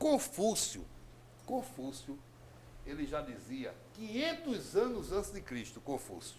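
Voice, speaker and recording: Recorded with audible room echo, a man speaks at a very slow pace, leaving long, frequent pauses. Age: 60s. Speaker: politician. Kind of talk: TV interview. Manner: animated.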